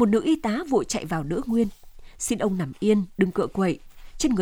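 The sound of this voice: Unforced voice, reading aloud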